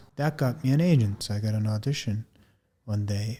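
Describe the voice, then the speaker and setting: In a very clean recording with a silent background, a man speaks at a moderate pace with a fairly low, somewhat breathy voice and a dark, mellow tone. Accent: non-native. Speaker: actor and podcast host. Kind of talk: casual personal monologue. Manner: casual, with some hesitations.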